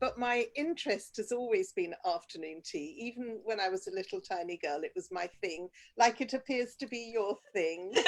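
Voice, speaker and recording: With an English accent, a woman talks at a moderate pace and a fairly high pitch, her pitch swinging very widely with hardly any pauses. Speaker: business owner. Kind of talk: casual chat.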